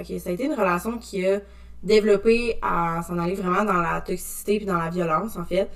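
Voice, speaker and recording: The woman talks at a moderate pace, her medium-pitched voice holding fairly even intonation, with noticeable noise in the background. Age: 20s. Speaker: social work technician. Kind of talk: testimony.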